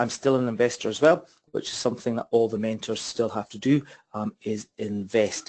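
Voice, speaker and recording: A man speaks with a Scottish accent at a medium pitch. His intonation is fairly even. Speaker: property investment trainer. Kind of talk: webinar presentation. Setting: online webinar. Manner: fast.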